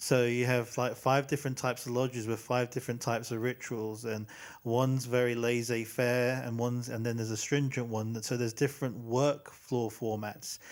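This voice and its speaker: A man with an English accent speaks at a moderate pace and a medium pitch. His intonation is flat and monotone, and the recording is very clean with a silent background. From England. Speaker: podcast host. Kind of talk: casual interview chat. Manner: halting, many fillers.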